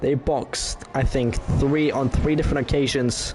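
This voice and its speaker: A man's medium-pitched voice at a very slow pace, with music in the background. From France. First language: French. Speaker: sim racing commentator. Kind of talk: live commentary.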